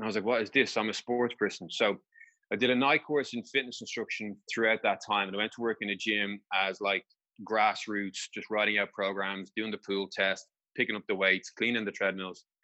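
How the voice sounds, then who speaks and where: A man with an Irish accent speaks at a fairly quick pace, his fairly low voice keeping a fairly even intonation. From Ireland. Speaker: injury specialist and personal trainer. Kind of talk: interview.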